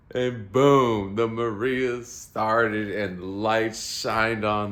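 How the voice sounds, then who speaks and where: A man talks very slowly, and echo from the room can be heard around his voice. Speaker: vlogger, amateur musician. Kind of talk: casual storytelling monologue. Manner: animated.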